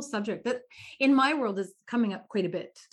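The pace here is fairly quick. It is an unremarkable speaking voice with ordinary pitch variation. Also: woman. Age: 50s. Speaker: podcast co-host. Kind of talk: casual chat.

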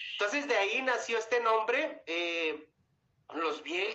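A man with a northern Mexican accent speaks in a raised, projected voice with high pitch and a bright, sharp tone. His intonation is lively and his pace very slow. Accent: northern Mexican (Chihuahua). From Mexico, Chihuahua. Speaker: singer. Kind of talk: interview. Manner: halting.

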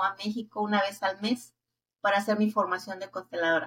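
A woman with a Mexico City accent speaks at a medium pitch in a monotone, flat delivery. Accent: Mexican Spanish (Mexico City). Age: 60s. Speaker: family constellation therapist. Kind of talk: interview.

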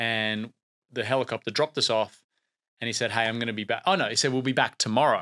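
Bright and sharp in tone, a man with an Australian accent speaks at medium pitch and a very fast pace, the sound dry and close with no echo on a very clean recording with a silent background. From Australia, Brisbane. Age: late 30s. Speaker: TV producer. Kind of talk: interview. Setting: studio.

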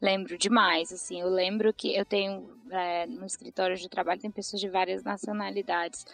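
A woman talks at a medium pitch and a moderate pace, with hardly any pauses. Her loudness swings widely while her intonation stays fairly even. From Brazil, interior of Ceará (Tianguá). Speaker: market researcher. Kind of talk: casual chat.

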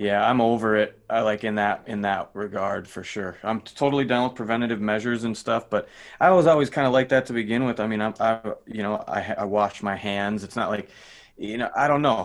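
An ordinary speaking voice from a man with an American accent, medium in pitch, fairly quick, with ordinary pitch variation. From Minnesota. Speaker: rock drummer. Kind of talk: casual chat.

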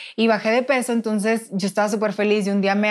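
On a very clean recording with a silent background, a woman's speech races along at a very fast pace. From Mexico, Nuevo León (Monterrey). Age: 20s. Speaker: former beauty queen, pageant director. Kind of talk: interview testimony.

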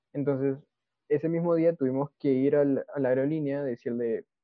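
A man speaks in a plain, everyday voice, fairly high in pitch, with fairly even intonation. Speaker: podcast co-host. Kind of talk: casual chat.

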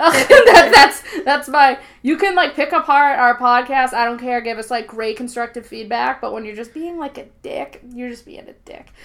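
A woman with a Boston accent speaks at a moderate pace in a high pitch, with hardly any pauses, big swings in loudness and ordinary pitch variation. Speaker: podcast host. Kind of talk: casual chat.

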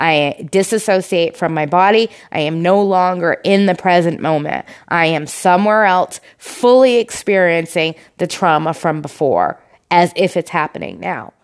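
Ordinary pitch variation runs through talking at a moderate pace. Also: woman, fairly low pitch for a woman. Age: 40s. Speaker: podcast host. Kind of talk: personal monologue. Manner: hesitant, many fillers.

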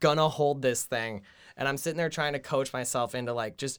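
On a very clean recording with a silent background, a man with an American accent speaks at a moderate pace in a plain, everyday voice, fairly high in pitch with fairly even intonation. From New Jersey. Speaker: comedian and podcast co-host. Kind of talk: casual chat.

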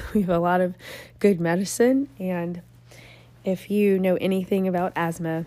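This woman talks at a fairly slow pace, her pitch fairly low with ordinary variation. Her tone is dark and mellow.

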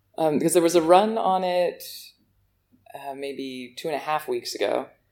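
Here is a woman with an American accent. Her pitch sits fairly low. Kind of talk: casual chat.

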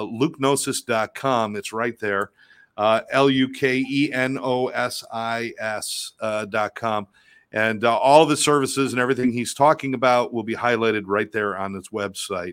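A man speaks at a moderate pace and a medium pitch with fairly even intonation. It is a plain, everyday voice. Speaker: podcast co-host. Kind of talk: interview hosting.

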